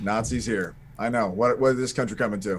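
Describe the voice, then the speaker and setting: Against clear background noise, a man does a gruff put-on character voice at a medium pitch and fairly quick pace, with ordinary pitch variation. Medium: actual play. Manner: gruff, grunting.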